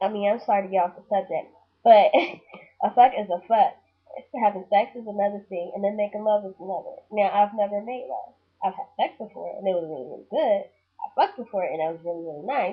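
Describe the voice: A woman talks at a fairly quick pace in a medium pitch with a slightly husky edge. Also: ordinary pitch variation.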